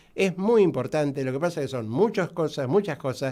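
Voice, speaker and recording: On a very clean recording with a silent background, a man speaks with lively intonation at a fairly high pitch. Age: 60s. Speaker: doctor specializing in diabetes. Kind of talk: radio interview. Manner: halting, many fillers.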